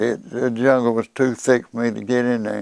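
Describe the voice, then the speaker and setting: In a very clean recording with a silent background and a dry, close sound with no echo, a man speaks at a medium pitch with monotone, flat intonation. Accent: Southern US. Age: 80s+. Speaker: war veteran. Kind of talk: interview answer. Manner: vivid storytelling.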